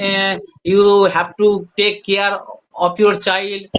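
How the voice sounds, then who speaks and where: In a Bengali accent, a man speaks with a high pitch. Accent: Indian English, Bengali. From India, West Bengal. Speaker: hospital attendant, English learner. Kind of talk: casual chat.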